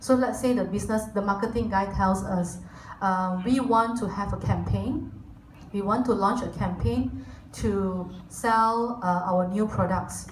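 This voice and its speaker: At a fairly slow pace, a woman speaks with a medium pitch and ordinary pitch variation, over noticeable background noise and audible room echo. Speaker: corporate team lead giving guest talk. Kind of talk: lecture.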